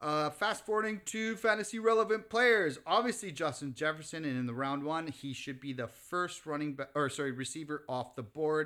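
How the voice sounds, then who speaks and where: Speaking at a fairly quick pace with hardly any pauses, a man uses a fairly high pitch, a bright, sharp tone and lively intonation. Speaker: sports podcast co-host. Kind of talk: casual banter about football. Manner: casual, profane, opinionated.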